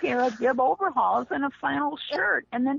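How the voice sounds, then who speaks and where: There is noticeable background noise behind a woman speaking at a high pitch. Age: 70s. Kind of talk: casual chat.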